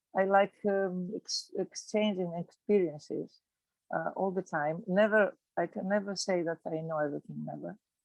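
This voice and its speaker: A woman with a Greek accent speaks at a moderate pace and medium pitch, with fairly even intonation. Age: 60s. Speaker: physiotherapist. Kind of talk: casual chat. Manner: halting.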